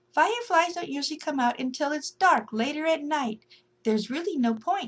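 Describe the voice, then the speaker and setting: A woman puts on a character voice pitched high. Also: moderate pace. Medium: read story.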